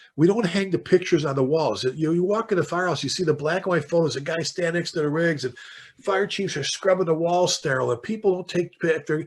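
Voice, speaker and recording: A man with a Chicago accent, very fast pace, high pitch and ordinary pitch variation, over noticeable background noise. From South Side Chicago. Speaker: fire chief and author. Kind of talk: podcast interview, storytelling. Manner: animated.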